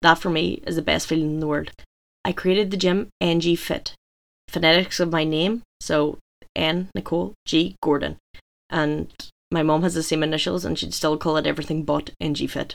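A woman's very deep, low voice with vocal fry and a Donegal accent, fairly even intonation and a moderate pace. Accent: Donegal Irish. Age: 20s. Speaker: gym owner and fitness coach. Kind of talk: scripted monologue.

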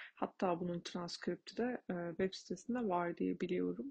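In a dark, mellow, somewhat breathy voice, the speaker goes at a fairly slow pace, the sound dry and close with no echo. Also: woman. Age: 20s. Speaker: podcaster, airport aviation information specialist and psychology student. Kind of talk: solo podcast monologue. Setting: late-night solo recording. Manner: hesitant, many fillers.

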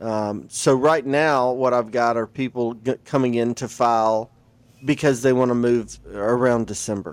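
A man with a Southern US accent speaks at a medium pitch. His pace is moderate and his intonation fairly even. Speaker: lawyer. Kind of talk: casual chat.

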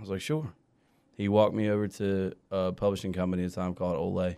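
In a very clean recording with a silent background, a man with an American accent talks at a very fast pace in a dark, mellow tone at a fairly low pitch. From Southern Maryland, partly Kansas. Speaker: country singer. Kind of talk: casual interview. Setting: studio. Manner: animated.

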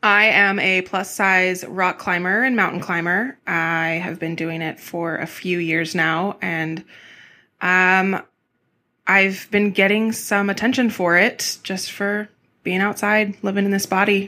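A medium-pitched woman with an American accent, bright, sharp tone and fairly even intonation, on a very clean recording with a silent background. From California (Central Valley, south of Fresno). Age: 30s. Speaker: plus-size rock climber. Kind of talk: casual interview chat.

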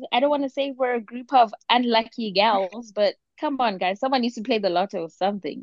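In an animated tone, a woman speaks at a fairly quick pace. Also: fairly high pitch for a woman, ordinary pitch variation. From South Africa. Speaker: podcast co-host. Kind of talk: casual chat. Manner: animated, laughs often.

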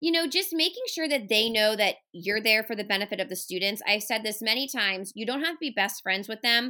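Loud and animated, a woman talks at a fairly quick pace with hardly any pauses, a bright, sharp tone, a fairly high pitch and lively intonation, on a very clean recording with a silent background. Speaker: special education resource teacher. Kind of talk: casual interview. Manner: loud, animated.

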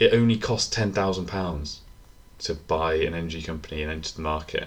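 This man speaks with a British accent. His tone is bright and sharp. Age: 20s. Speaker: podcast co-host. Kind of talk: casual chat.

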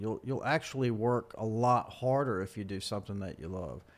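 A man talks at a fairly quick pace with a medium pitch. He has an unremarkable speaking voice. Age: 40s. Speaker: photographer. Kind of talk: casual chat.

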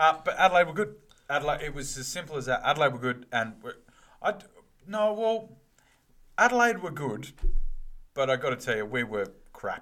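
A man with a bright, sharp tone and fairly high pitch talks at a fairly quick pace, his pitch swinging very widely and his loudness in big swings, with long, frequent pauses. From Western Australia. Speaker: footy podcast co-host. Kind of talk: casual chat.

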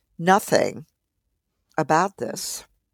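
Slowly, at a very slow pace, a woman with an American accent and a fairly low pitch speaks with ordinary pitch variation, in a dry, close sound with no echo on a very clean recording with a silent background. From Philadelphia suburbs, US. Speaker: psychiatrist and professor. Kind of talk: interview.

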